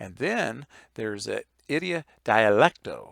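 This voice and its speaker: A man with an American accent is heard in a very clean recording against a silent background. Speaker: Bible teacher. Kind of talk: lecture. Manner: halting, many fillers.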